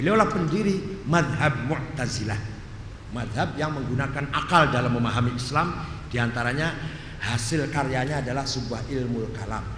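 At a moderate pace, a man speaks in a medium pitch with ordinary pitch variation. Noticeable background noise and audible room echo surround him. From Cirebon, West Java. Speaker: Islamic preacher and professor. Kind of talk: religious lecture. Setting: mosque.

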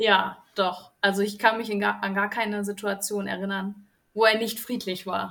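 Speaking fairly slowly, a woman of medium pitch has a bright, sharp tone. Her intonation stays monotone and flat. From central Germany, near Kassel (northern Hesse). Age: 20s. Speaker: kindergarten teacher, group-trip participant. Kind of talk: casual interview chat.

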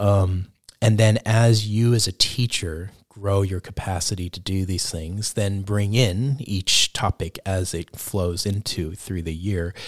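On a very clean recording with a silent background and a dry, close sound with no echo, a man with a New York accent speaks fairly slowly, fairly low, with fairly even intonation. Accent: American (New York). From New York (the Bronx). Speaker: education director. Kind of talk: interview.

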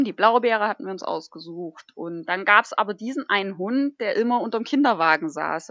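At a fairly quick pace, a woman with an ordinary speaking voice talks at medium pitch with lively intonation. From northern Thuringia, Germany. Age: 30s. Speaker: dog musher and hiker. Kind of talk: casual chat.

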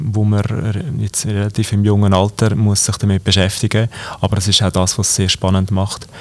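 In a fairly low pitch and at a moderate pace, a man talks with an unremarkable speaking voice. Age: 20s. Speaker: company executive and cantonal politician. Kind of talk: interview. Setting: company office.

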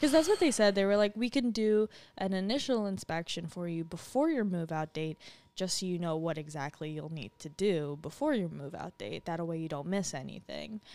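In a very clean recording with a silent background, a woman speaks at a fairly quick pace. Her tone is dark and mellow, with lively intonation and big swings in loudness. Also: fairly low pitch for a woman. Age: 20s. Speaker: podcast co-host. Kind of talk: casual chat.

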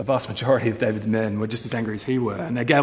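Fairly even intonation in natural-voiced reading aloud

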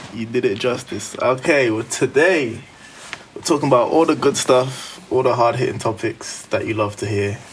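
Over noticeable background noise, a man with a British accent speaks at a moderate pace and medium pitch, with ordinary pitch variation. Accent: British urban.

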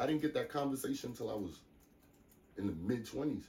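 Using a fairly quick pace, a man talks with an American accent and vocal fry. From US Northeast, New York City (the Bronx, Baychester). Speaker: DJ and producer. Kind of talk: casual interview chat. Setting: studio.

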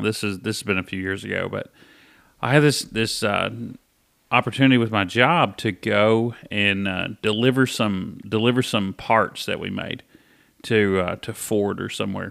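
In a very clean recording with a silent background, a man with a fairly low pitch uses a plain, everyday voice with ordinary pitch variation. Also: moderate pace. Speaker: podcast co-host. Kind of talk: casual chat.

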